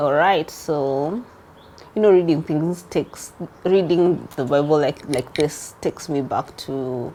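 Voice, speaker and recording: Speaking with a Kenyan accent, a woman has a very deep, low pitch and a dark, mellow tone, moving at a fairly slow pace with ordinary pitch variation. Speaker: online Bible teacher. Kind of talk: casual talk.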